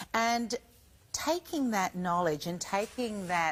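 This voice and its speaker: In a very clean recording with a silent background, a woman with an unremarkable speaking voice talks at a fairly slow pace with ordinary pitch variation. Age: 50s. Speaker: shopping channel presenter. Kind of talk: TV shopping presentation.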